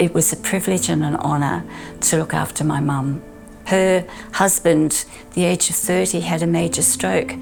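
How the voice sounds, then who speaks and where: Over music in the background, a woman speaks with a very deep, low pitch and very wide pitch swings. Her loudness stays very even. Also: moderate pace. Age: 80s+. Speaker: physio assistant. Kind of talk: interview answer.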